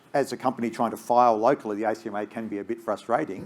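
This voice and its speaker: Speaking very fast in an Australian accent, a man keeps a fairly low pitch and fairly even intonation. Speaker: space company executive. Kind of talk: panel discussion.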